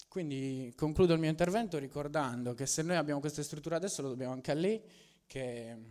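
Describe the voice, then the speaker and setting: This man's pace is fairly quick, and his pitch varies in an ordinary way. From Sardinia, La Maddalena. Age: 20s. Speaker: local entrepreneur. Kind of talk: public speech. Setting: public meeting with audience.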